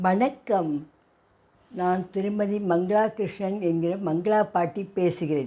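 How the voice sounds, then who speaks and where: This voice has a dark, mellow tone and ordinary pitch variation. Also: woman, medium pitch for a woman. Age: 70s. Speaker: grandmother vlogger. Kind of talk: casual talk to camera. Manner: conversational, with false starts.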